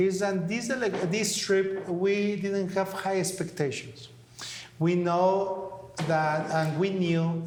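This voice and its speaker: Over noticeable background noise, a man with a Mexican accent speaks at a very slow pace in a high pitch with fairly even intonation. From Mexico City. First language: Spanish. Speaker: talk show co-host. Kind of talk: casual interview chat. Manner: halting, with fillers.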